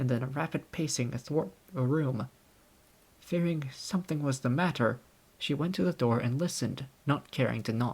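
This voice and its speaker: A man speaks in a somewhat breathy voice. His speech has long, frequent pauses. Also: fairly high pitch for a man, ordinary pitch variation, moderate pace. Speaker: audiobook narrator. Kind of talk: audiobook narration.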